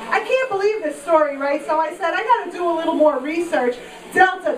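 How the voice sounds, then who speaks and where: A woman's extremely high voice with lively intonation and an American accent, amid noticeable background noise and audible room echo. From Queens, New York. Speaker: stand-up comedian. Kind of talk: stand-up. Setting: stage with audience.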